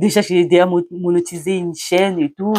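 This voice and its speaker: The speech moves at a fairly slow pace with a dark, mellow tone. The recording is very clean with a silent background, and the sound is dry and close with no echo. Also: woman. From Congo (Central Africa). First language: a Congolese language (not French) (speaking French). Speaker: YouTuber, mother. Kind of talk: vlog talk to camera, partly read from notes. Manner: hesitant, many fillers and restarts.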